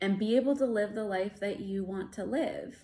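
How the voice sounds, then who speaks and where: A woman is speaking. Her pitch sits in the middle range. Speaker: licensed counselor. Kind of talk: casual talk to camera. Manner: hesitant, many fillers.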